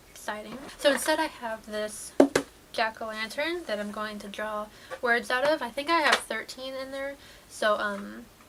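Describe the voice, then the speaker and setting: A woman speaks with a fairly high pitch and big swings in loudness. Noticeable background noise runs under her voice. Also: ordinary pitch variation, moderate pace. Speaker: YouTuber. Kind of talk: casual vlog chat. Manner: low-energy.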